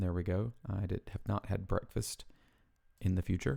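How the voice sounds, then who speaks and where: Recorded very cleanly against a silent background, a man with a Southern US accent talks in a fairly low voice. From US South. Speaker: weight loss vlogger. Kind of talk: casual tutorial. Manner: casual, conversational with fillers.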